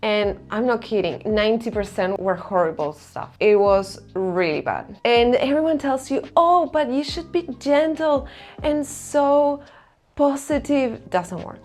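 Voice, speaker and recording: Very wide pitch swings in an Argentine accent at a fairly slow pace. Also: woman, high pitch for a woman. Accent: non-native English, Argentine Spanish. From Argentina. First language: Spanish. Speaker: self-help vlogger. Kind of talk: personal vlog talk to camera.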